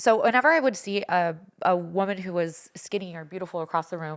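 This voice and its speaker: A woman speaks with an animated tone. Her intonation is lively. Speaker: podcast guest, show co-star. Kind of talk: casual chat.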